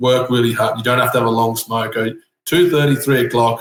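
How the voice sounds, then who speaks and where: Somewhat breathy, a man with an Australian accent talks at a fairly quick pace. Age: 30s. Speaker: tiler. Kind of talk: casual chat. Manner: animated.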